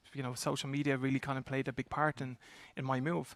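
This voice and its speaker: A man with an Irish accent at a very fast pace, medium in pitch, his intonation fairly even, on a very clean recording with a silent background. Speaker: talent acquisition executive. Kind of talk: panel discussion. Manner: halting, many repetitions.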